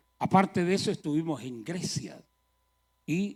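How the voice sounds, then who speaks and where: Crowd noise fills the background. A man speaks at a very slow pace. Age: 70s. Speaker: traveling preacher. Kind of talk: sermon.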